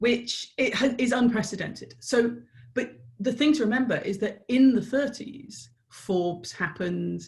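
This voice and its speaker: Speaking at a moderate pace with an English accent, a woman uses a fairly high pitch, ordinary pitch variation and vocal fry. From Ireland. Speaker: business strategist. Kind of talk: podcast interview answer.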